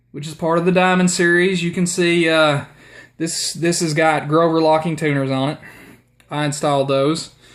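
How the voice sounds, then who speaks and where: The voice carries a strong Southern US accent. It moves at a moderate pace. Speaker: guitar player. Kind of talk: casual talk to camera.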